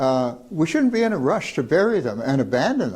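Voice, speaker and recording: Here a man talks at a moderate pace in a Canadian accent. His tone is dark and mellow. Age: 80s+. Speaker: anti-nuclear activist and scientist. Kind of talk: public lecture at a workshop. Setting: workshop room with live audience. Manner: halting, with many fillers and restarts.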